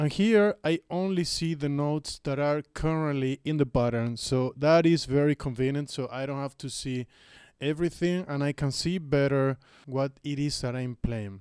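Dry sound with no echo carries a man speaking with ordinary pitch variation. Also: moderate pace, quiet background. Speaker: music gear youtuber. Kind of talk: tutorial. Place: home room. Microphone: studio mic.

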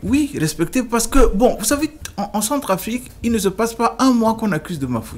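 Lively intonation colors speech delivered at a fairly quick pace. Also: man, extremely high pitch for a man. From Central African Republic (Bangui). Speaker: lawyer and former minister; lawyer, former minister. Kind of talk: interview. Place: studio. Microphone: studio mic.

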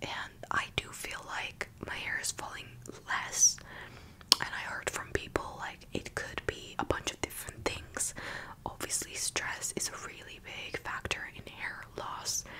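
Soft-spoken and whispering, a woman goes at a fairly slow pace over light background noise. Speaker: vlogger. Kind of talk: casual vlog chat. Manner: soft close-mic ASMR whisper. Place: home room. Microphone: studio mic.

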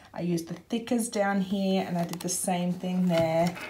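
Over noticeable background noise, a woman talks with a fairly low pitch. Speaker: craft video maker. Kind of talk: craft tutorial flip-through. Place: home room. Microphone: phone near.

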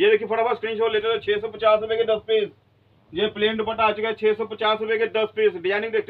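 A man talks fast in a high pitch with monotone, flat intonation.

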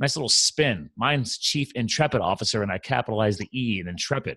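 A man talks at a fairly quick pace with vocal fry. The background is quiet. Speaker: podcast host. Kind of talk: podcast host introduction. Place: home room. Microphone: studio mic.

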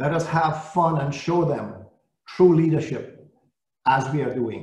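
A man at a fairly slow pace, with audible room echo and a quiet background. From Saint Lucia. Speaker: service-club district leader. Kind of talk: greeting speech. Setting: video call. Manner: animated. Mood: warm, encouraging. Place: office. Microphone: video call.

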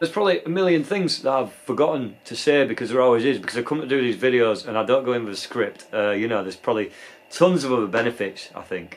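Lively intonation at a very fast pace with hardly any pauses. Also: man. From UK. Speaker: skateboarder and video creator. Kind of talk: casual vlog monologue. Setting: outdoors at skate park. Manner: casual, filler-heavy. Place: home room.

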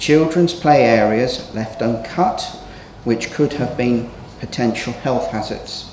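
A man's medium-pitched voice at a moderate pace, with ordinary pitch variation, audible room echo and light background noise. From England. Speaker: local councillor. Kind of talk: council meeting debate. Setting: council chamber. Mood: critical, accusatory. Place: hall. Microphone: podium.

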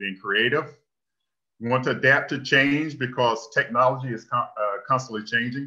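Bright, sharp tone from a man at a fairly high pitch, ordinary pitch variation, quiet background. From northeastern North Carolina (Elizabeth City); North Carolina. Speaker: engineering technician; presenter. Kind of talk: presentation. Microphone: webcam.

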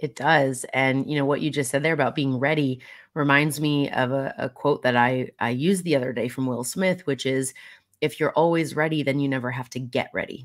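Against a quiet background, a woman speaks at a very deep, low pitch with fairly even intonation. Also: fairly quick pace. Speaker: podcast host. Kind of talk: interview. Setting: live video stream. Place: home room.

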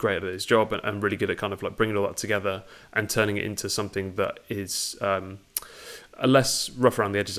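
A man at a very fast pace, fairly low in pitch, with monotone, flat intonation. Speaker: guest. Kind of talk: interview answer. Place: home room.

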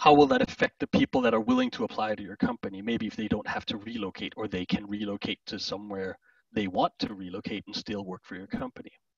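With a Danish accent, a man talks at a very fast pace with hardly any pauses and big swings in loudness, the sound dry and close with no echo. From Denmark. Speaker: enterprise architect. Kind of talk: conference presentation. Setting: virtual conference.

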